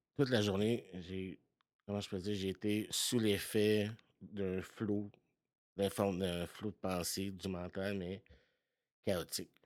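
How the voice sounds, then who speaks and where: In a very clean recording with a silent background, a man speaks very slowly at a fairly low pitch. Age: 40s. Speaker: podcast guest sharing recovery story. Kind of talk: personal testimony. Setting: home basement.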